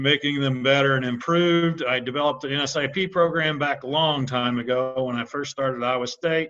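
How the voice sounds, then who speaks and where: This man has a Midwestern US accent and a fairly high pitch. He talks at a fairly quick pace with fairly even intonation and hardly any pauses. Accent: US Midwest. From Indiana. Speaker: animal nutrition specialist. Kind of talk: webinar presentation. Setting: online webinar. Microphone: unstable internet connection.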